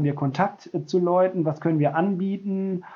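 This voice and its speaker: High-pitched male speech, its intonation fairly even. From Westphalia, Germany. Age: 40s. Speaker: protestant pastor. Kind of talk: interview.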